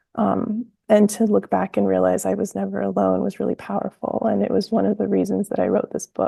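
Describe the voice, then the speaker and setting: At a fairly quick pace, a woman speaks with hardly any pauses. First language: Spanish. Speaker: author. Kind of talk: interview. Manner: hesitant, many fillers.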